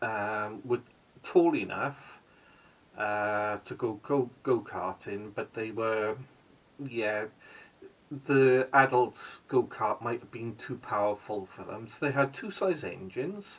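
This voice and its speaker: Speaking very slowly with long, frequent pauses, a man with a Welsh accent uses a medium pitch, ordinary pitch variation and big swings in loudness. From Wales. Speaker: vlogger. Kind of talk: casual vlog narration. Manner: hesitant, with fillers.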